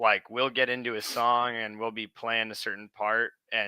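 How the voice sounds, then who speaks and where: A man speaks at a moderate pace with a medium pitch, a bright, sharp tone, and flat, monotone intonation. The sound is dry and close with no echo, and the recording is very clean over a silent background. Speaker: rock band musician. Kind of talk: casual interview chat. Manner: casual, filler-heavy.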